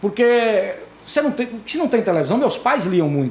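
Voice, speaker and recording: An extremely high-pitched man's voice moves in very wide pitch swings. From Brazil, Dianópolis, southeastern Tocantins. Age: 50s. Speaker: lawyer and newspaper columnist. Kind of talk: interview podcast conversation. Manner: animated.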